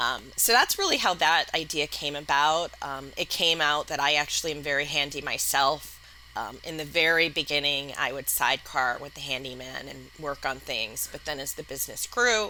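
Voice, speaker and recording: A woman speaks in a very deep, low voice with a slight Wisconsin accent. Her loudness swings widely, and she hardly pauses. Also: ordinary pitch variation, moderate pace. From US Midwest, Madison, Wisconsin. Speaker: entrepreneur, company founder. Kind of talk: podcast interview.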